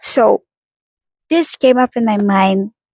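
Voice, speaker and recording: Speaking very slowly with a non-native accent, a woman's fairly high voice comes through in a dry, close sound with no echo. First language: not English. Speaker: vlogger. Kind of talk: casual vlog monologue. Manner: halting.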